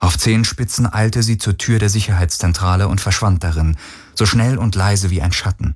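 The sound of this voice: The reading voice here sounds unforced.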